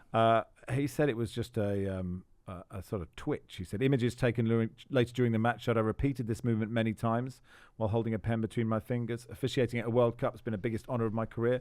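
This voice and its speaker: A man talks at a very fast pace in an Estuary accent. His pitch is medium, and his intonation is fairly even. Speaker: football podcast host. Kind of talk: casual chat.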